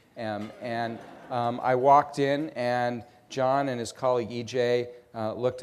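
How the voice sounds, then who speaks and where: Heard with audible room echo, a man speaks at a medium pitch with an American accent. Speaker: nonprofit CEO interviewing a guest. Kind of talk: on-stage interview. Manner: halting, many fillers.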